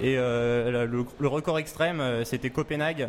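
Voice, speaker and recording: The man has a normal speaking voice. He talks at a fairly slow pace with fairly even intonation. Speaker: student club representative. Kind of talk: casual chat.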